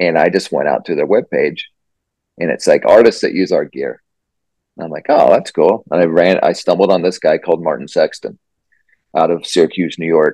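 A man with a Midwestern American accent speaks at a fairly quick pace, breaking it up with long, frequent pauses. The sound is dry and close, with no echo. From rural southwest Iowa. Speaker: singer-songwriter. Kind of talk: casual interview. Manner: halting, many fillers.

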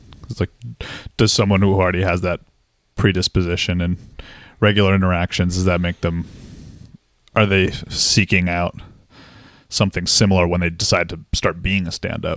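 A man with an American accent, very deep and low in pitch, monotone and flat, at a fairly quick pace broken by long, frequent pauses, in a dry, close sound with no echo. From Massachusetts. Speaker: psychiatrist. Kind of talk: casual chat. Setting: video call.

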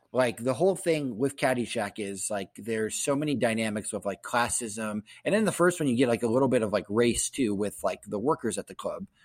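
An ordinary speaking voice from a man with an American accent, medium pitch, lively intonation and a fairly quick pace, on a very clean recording with a silent background and a dry, close sound with no echo. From Columbus, Ohio, US Midwest. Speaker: guest podcast host. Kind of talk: casual chat.

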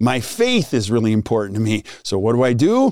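An animated man at a medium pitch, with ordinary pitch variation and a fairly slow pace. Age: 50s. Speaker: dental practice coaching podcast host. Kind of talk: casual chat.

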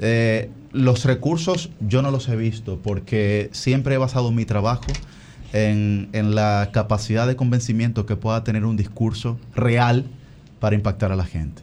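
The tone of this man's voice is dark and mellow. He speaks at a fairly slow pace. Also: medium pitch for a man, ordinary pitch variation. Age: 20s. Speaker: congressional candidate. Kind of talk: interview.

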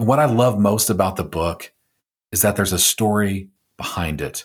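On a very clean recording with a silent background, a man with a plain, everyday voice speaks at a moderate pace, with fairly low pitch and ordinary pitch variation. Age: 40s. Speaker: podcast host and pastor. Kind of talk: scripted monologue intro; interview conversation.

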